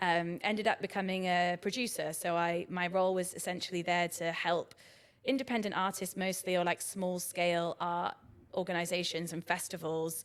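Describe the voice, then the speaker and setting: A woman with a Brighton accent talks at a moderate pace in a fairly low pitch. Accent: southern English, Brighton. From southern England, Brighton. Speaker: arts director. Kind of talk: podcast interview. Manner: casual, many fillers (um, like).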